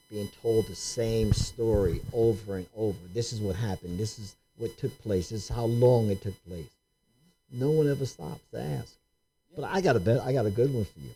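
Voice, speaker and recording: On a very clean recording with a silent background, a man speaks at a moderate pace in a dark, mellow, somewhat breathy tone, with lively intonation and big swings in loudness. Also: medium pitch for a man. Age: 60s. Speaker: podcast host. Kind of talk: casual discussion.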